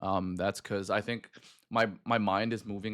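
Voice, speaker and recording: Someone with an American accent speaks in a monotone, flat intonation in a very clean recording with a silent background. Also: man. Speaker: streamer. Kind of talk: casual chat. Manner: fast.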